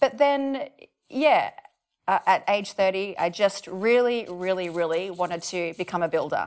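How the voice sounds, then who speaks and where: A woman with an Australian accent at medium pitch, fairly slow, with lively intonation. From rural New South Wales, Australia. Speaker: builder and former classical pianist. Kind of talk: interview. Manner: hesitant, many fillers.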